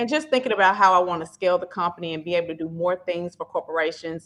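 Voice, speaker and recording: Her voice sits fairly low in pitch for a woman, with ordinary pitch variation. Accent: Memphis. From Memphis, Tennessee (US South). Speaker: staffing company founder. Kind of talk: podcast interview.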